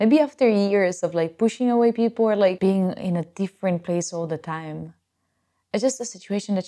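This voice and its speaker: Speaking with an Italian accent, a woman uses lively intonation at a medium pitch. Her tone is dark and mellow, on a very clean recording with a silent background. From Italy. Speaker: podcast host. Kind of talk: casual solo talk.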